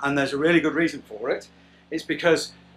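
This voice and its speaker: Faint music runs in the background. A man talks over it. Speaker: boat restorer vlogger. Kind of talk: casual vlog chat. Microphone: phone near.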